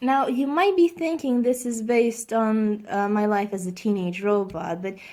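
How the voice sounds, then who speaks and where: This woman's tone is dark and mellow, her pitch fairly high. She speaks at a moderate pace. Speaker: YouTuber, artist. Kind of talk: casual vlog commentary. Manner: halting, many fillers and restarts.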